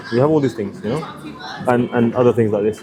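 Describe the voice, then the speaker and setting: A man with a medium pitch and lively intonation speaks over noticeable background noise. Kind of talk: conversation with a stranger, religious discussion.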